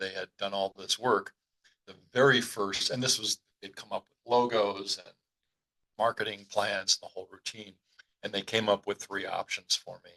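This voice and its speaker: Speaking with an American accent at a moderate pace, a man swings widely in loudness, and the sound is dry and close with no echo. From New York City, the Bronx. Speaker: business consultant and coach. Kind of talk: podcast interview.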